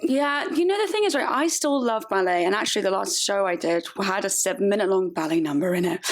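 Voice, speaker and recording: In a southern English accent, the speaker races at a very fast pace with hardly any pauses, very wide pitch swings and very even loudness, over noticeable background noise. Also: woman, medium pitch for a woman. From southern England (Woking, Surrey). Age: 30s. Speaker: actress and stripper. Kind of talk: casual interview. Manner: animated.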